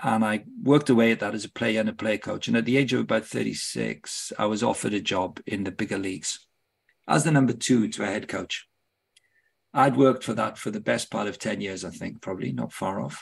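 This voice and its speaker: A man with a British accent, fairly low in pitch, with vocal fry and ordinary pitch variation. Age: 60s. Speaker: football club director and ministry leader. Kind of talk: podcast interview.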